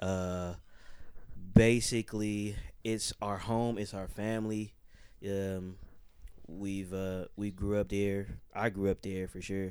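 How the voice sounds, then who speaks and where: Speaking very slowly with long, frequent pauses, a man keeps a fairly low pitch and a monotone, flat intonation. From Oakland, California. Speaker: music producer and crew member. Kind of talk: interview conversation.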